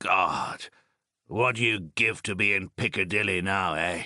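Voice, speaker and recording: A man puts on a raspy character voice at a fairly low pitch, keeping a moderate pace and fairly even intonation. The sound is dry and close with no echo, over a quiet background. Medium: read story. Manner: clipped, soldierly, drops words, joking.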